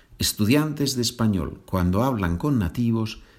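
In a very clean recording with a silent background, a man with an ordinary speaking voice talks at a fairly slow pace, his fairly low pitch carried by lively intonation. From Asturias, northern Spain. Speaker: Spanish teacher. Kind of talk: language lesson.

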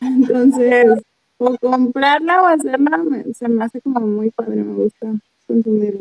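High-pitched, a woman's voice shows ordinary pitch variation. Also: fairly slow pace, dry, close sound with no echo. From Mexico, La Laguna (Torreón, Coahuila). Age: 20s. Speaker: psychologist and vegan activist. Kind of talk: casual interview.

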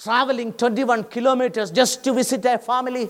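On a very clean recording with a silent background, a man speaks at an extremely high pitch. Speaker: pastor. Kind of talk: sermon. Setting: church. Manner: animated, preacherly, urgent; conversational, mixes Malayalam with English phrases.

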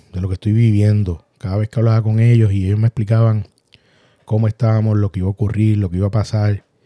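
In a Puerto Rican accent, a man with a fairly low pitch and a dark, mellow tone talks at a fairly quick pace in a monotone, flat intonation, with a dry, close sound and no echo. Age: 40s. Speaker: accident survivor podcaster. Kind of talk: personal storytelling monologue. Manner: halting.

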